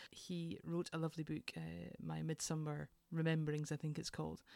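A fairly low-pitched woman with a Scottish accent at a moderate pace. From Scotland, Edinburgh. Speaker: leadership consultant, former nurse. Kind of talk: interview.

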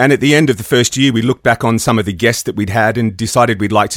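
A man talks very fast with an Australian accent. The sound is dry and close, with no echo. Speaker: audio producer and equipment designer. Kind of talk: casual interview.

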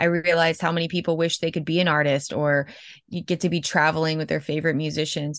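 Against a quiet background, a woman with a very deep, low pitch and an American accent talks very fast in a flat monotone. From Florida. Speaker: mural artist. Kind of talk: interview.

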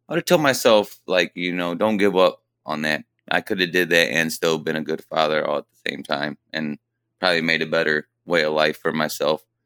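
A man with a very deep, low pitch and a bright, sharp tone speaks with fairly even intonation, recorded very cleanly with a silent background and a dry, close sound with no echo. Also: moderate pace. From Fremont, Ohio. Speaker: welder. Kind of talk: interview. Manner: halting.

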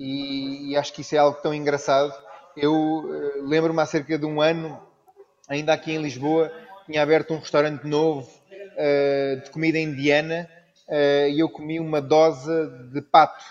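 Spoken at a moderate pace in a flat, monotone delivery, the voice breaks often into long pauses. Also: man, fairly high pitch for a man. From Brazil (Rio de Janeiro), raised with Portuguese family. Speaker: chef. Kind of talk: casual interview chat.

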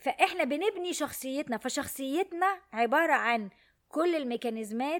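On a very clean recording with a silent background, a woman speaks in an animated tone with very wide pitch swings. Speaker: podcast host on emotional education. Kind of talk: solo monologue talk. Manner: animated, worked up today.

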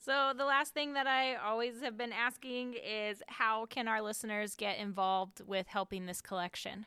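A woman with a fairly high pitch and a bright, sharp tone talks with hardly any pauses and ordinary pitch variation. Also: moderate pace. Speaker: podcast host. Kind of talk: interview, host introducing guest.

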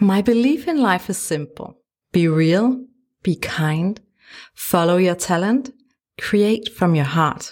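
On a very clean recording with a silent background, a woman with a Danish accent speaks in a warm, gentle tone, her fairly low voice marked by lively intonation. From Denmark. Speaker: podcast host, photographer and life coach. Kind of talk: solo podcast monologue. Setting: home studio. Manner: warm and gentle.

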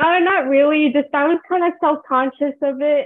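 In an American accent, a woman speaks with a high pitch. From New Jersey. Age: 20s. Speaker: college student and cosplayer. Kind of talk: casual interview.

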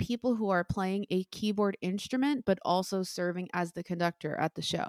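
At a moderate pace, a woman with an American accent speaks in a normal speaking voice at a medium pitch. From New Jersey (Bayonne). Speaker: Broadway music director and conductor. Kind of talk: interview.

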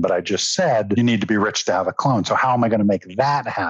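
Noticeable background noise fills the recording. A man talks fairly quickly, his pitch moving in an ordinary way. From raised in London, England. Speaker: novelist. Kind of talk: interview.

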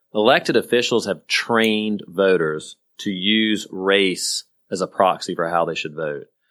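A plain, everyday voice from a man with an American accent, fairly low pitch, ordinary pitch variation and a fairly slow pace, on a very clean recording with a silent background. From rural South Carolina. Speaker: podcast co-host, former politician. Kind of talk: casual political chat.

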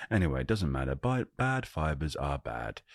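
At a moderate pace, a man with a very deep, low pitch and very wide pitch swings speaks in a calm, soothing tone, the sound dry and close with no echo on a very clean recording with a silent background. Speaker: podcast host. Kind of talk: casual solo monologue. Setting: at home.

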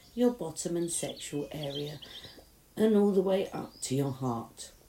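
Noticeable background noise runs behind a woman's fairly low voice. She speaks at a fairly slow pace in a soothing, gentle tone. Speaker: meditation guide. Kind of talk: guided meditation. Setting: outdoors in a garden summer house with birdsong. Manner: soothing, slow and gentle, with long calming pauses; warm, reassuring, hushed.

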